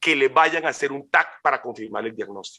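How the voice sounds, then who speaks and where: The man's voice has a bright, sharp tone. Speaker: physician speaker. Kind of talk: lecture. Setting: webinar. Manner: fast; halting.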